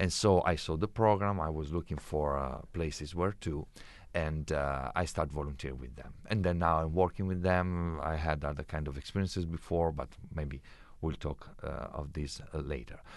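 A man with an Italian accent speaks at a moderate pace in a very deep, low voice. His pitch varies in an ordinary way, and the background is quiet. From Italy. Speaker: intercultural education specialist. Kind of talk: interview. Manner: hesitant, many fillers.

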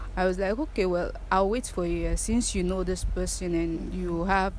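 A woman's voice at a fairly slow pace, with audible room echo. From Sierra Leone, Freetown. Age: 20s. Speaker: abuse survivor. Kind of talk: testimony.

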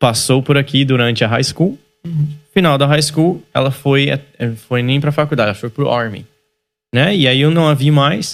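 A man with a fairly high pitch speaks at a moderate pace with ordinary pitch variation and long, frequent pauses. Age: 30s. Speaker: church youth pastor and podcast host. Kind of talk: casual chat.

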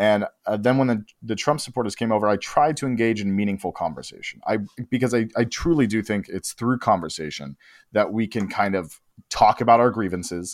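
In an American accent, the speaker has an ordinary speaking voice with ordinary pitch variation and a fairly quick pace. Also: man, fairly low pitch for a man. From Los Angeles, US. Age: 20s. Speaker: writer and director. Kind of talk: casual chat.

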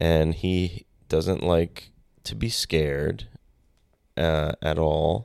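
A man with a very deep, low pitch and ordinary pitch variation talks at a very slow pace with long, frequent pauses. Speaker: guest. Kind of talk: casual chat. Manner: casual, joking.

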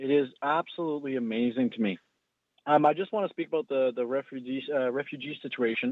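Talking at a very fast pace, a man with a Canadian accent keeps a medium pitch and ordinary pitch variation. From Canada, Ottawa. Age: 20s. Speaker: caller. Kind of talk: call-in opinion. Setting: phone call. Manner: halting.

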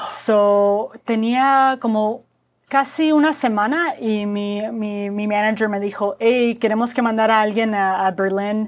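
A woman with a fairly high pitch and ordinary pitch variation is heard on a very clean recording with a silent background. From US Southwest (Phoenix, Arizona), Mexican-American family. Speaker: product designer. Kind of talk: casual interview chat, code-switching Spanish and English. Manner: halting Spanish with many fillers and repetitions.

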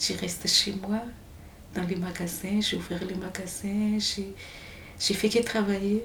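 A woman with a Malagasy accent speaks at a medium pitch and a very slow pace, her intonation monotone and flat. Noticeable background noise and audible room echo fill the recording. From Madagascar. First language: Malagasy (speaking French). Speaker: exile telling her story. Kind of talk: testimony. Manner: halting.

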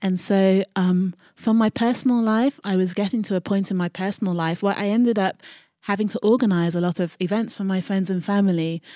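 With a London accent, a woman speaks at a fairly quick pace in a dark, mellow tone with fairly even intonation. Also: medium pitch for a woman, dry, close sound with no echo, very clean recording, silent background. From South London, Croydon. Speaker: eco-friendly events entrepreneur. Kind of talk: interview.

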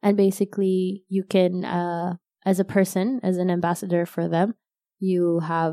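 In a dry, close recording with no echo, a woman speaks at medium pitch and a moderate pace. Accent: Arabic. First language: Arabic. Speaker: corporate employee and novelist. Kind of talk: interview. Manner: casual, with fillers and false starts.

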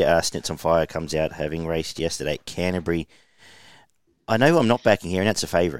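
The recording is very clean, with a silent background. A man talks with an Australian accent. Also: dry, close sound with no echo. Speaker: horse racing tipster podcast host. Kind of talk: casual racing tips chat.

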